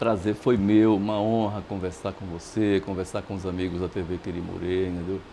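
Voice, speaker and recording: The man's voice is very deep and low with a dark, mellow tone, monotone, flat intonation and a moderate pace. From Bahia, Brazil. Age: 60s. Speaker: journalist. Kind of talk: interview.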